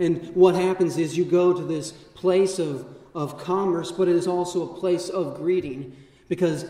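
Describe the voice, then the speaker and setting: A man with a high-pitched voice is heard with audible room echo. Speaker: vicar preaching. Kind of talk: sermon. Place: church. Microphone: camera far.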